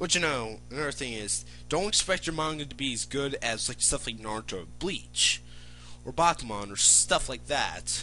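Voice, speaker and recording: Music underneath a man's moderately paced talking. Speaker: aspiring manga artist vlogger. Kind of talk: casual vlog monologue. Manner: rambling, filler-heavy.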